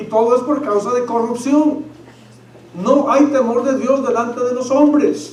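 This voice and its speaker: A man talks at a fairly slow pace in an extremely high pitch. Noticeable background noise and audible room echo surround him. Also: fairly even intonation. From Mexico. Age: 50s. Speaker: pastor. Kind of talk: sermon.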